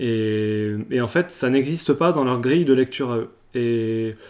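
This is a man's voice. His intonation stays fairly even. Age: 30s. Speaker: apprentice market gardener. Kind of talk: interview. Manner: halting.

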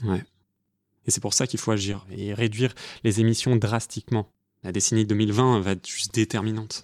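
Fairly low male voice in a monotone, flat intonation with long, frequent pauses, in a very clean recording with a silent background. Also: moderate pace. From France, Paris. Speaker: podcast co-host. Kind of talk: scripted narration.

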